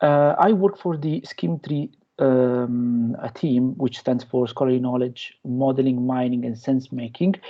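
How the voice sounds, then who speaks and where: A man's medium-pitched voice with a strong Italian accent, at a fairly slow pace. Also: ordinary pitch variation. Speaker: researcher and lecturer. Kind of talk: lecture. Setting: guest lecture to university class. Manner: hesitant, many fillers.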